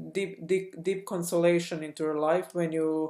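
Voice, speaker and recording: A woman with a non-native accent, her pitch fairly low, her tone dark and mellow, and her intonation fairly even. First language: not English. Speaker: spiritual coach and channel host. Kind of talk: personal testimony vlog. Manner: halting, many fillers and restarts.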